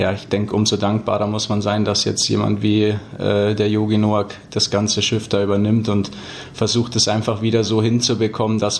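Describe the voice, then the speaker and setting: A man with a fairly low pitch speaks in a flat monotone at a moderate pace. Noticeable background noise is present. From Füssen, Allgäu, Bavaria. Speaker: ice hockey player. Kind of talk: interview.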